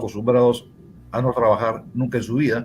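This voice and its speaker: A man speaks at a moderate pace. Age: 60s. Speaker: former congressman and lawyer. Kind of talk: political interview. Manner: hesitant, repeats words.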